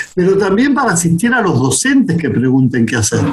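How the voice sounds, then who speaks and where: Over noticeable background noise, a man speaks in a high pitch. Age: 60s. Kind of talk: interview conversation. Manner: hesitant, repeats words.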